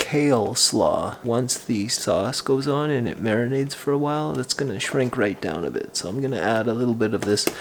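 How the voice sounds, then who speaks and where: Soft-spoken and at a medium pitch, a man talks at a moderate pace with ordinary pitch variation over noticeable background noise. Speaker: cooking vlogger, stay-at-home dad. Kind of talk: cooking tutorial. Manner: soft-spoken, speaking quietly.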